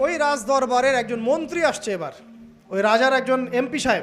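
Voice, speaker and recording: A man speaks at an extremely high pitch, with ordinary pitch variation. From Bangladesh. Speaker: Islamic preacher. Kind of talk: religious sermon.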